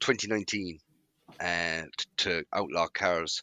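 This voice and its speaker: A man with a rural Irish accent has a bright, sharp tone and a fairly low pitch with ordinary pitch variation, recorded with a dry, close sound with no echo against a quiet background. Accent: Irish country. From rural Ireland. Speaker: car club founder. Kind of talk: casual interview chat.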